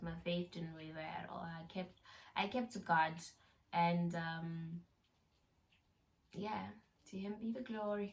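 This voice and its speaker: A woman speaks very slowly in a somewhat breathy, fairly low voice. Her intonation stays fairly even. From South Africa. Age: young. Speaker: YouTuber. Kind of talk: casual talk to camera.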